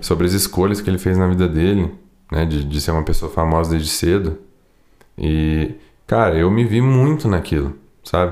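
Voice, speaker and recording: A man with a very deep, low pitch and a dark, mellow tone speaks at very even loudness, with ordinary pitch variation and long, frequent pauses. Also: moderate pace, very clean recording, silent background. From Brazil, Poços de Caldas. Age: 20s. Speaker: sertanejo singer. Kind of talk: casual chat.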